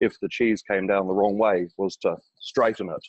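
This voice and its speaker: A man with an English accent speaks at a fairly low pitch in monotone, flat intonation. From England, rural village. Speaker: property developer. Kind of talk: interview. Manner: halting, many fillers.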